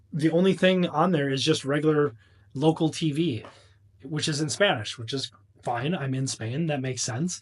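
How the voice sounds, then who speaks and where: At a moderate pace, a man talks in a fairly high, somewhat breathy voice with ordinary pitch variation. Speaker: travel vlogger. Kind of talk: casual vlog monologue. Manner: ranting, animated.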